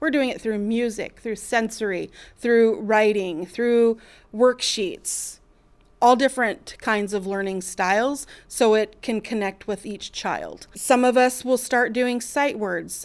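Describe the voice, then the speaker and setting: A woman talks in an ordinary speaking voice, pitched fairly high. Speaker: kindergarten teacher. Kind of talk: interview answers.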